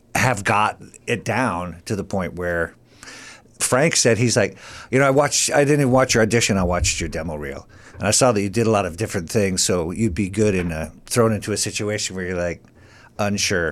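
A man with an American accent talks at a fairly quick pace in an unremarkable speaking voice, fairly low in pitch, with ordinary pitch variation. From US Midwest. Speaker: comedian and actor. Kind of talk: casual chat. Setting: studio.

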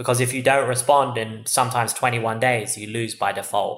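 A man with an English accent, medium pitch and a fairly quick pace. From England. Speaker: tech startup CEO. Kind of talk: interview.

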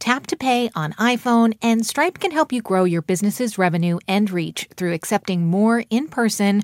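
On a very clean recording with a silent background, a woman with a fairly high pitch and a normal speaking voice talks at a moderate pace with lively intonation. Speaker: radio host. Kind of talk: radio interview and narration.

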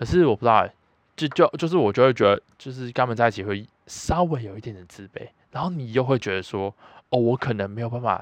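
In a dry, close sound with no echo, a man talks at a very fast pace. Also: medium pitch for a man, ordinary pitch variation. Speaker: podcast host. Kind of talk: casual monologue. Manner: stuttering, repetitive.

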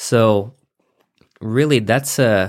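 A man at medium pitch speaks with fairly even intonation on a very clean recording with a silent background. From Nevada, US. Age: 20s. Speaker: SEO business owner. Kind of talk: casual interview.

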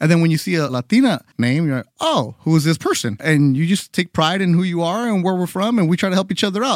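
The voice moves at a fairly quick pace with lively intonation. The recording is very clean, with a silent background and a dry, close sound with no echo. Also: man. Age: 40s. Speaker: sports podcast host. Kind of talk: casual chat; scripted narration.

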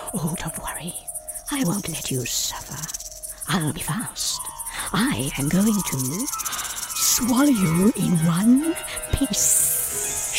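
Over clear music in the background, a put-on character voice at a middle pitch moves very slowly with very wide pitch swings. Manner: hissing, menacing.

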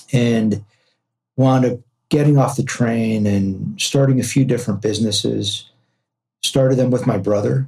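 Long, frequent pauses break up the speech of a man with an American accent, who talks at a moderate pace in a medium pitch, his dark, mellow tone somewhat breathy and his loudness very even. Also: fairly even intonation. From Los Angeles, US West Coast. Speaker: entrepreneur and podcast host. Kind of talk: interview conversation.

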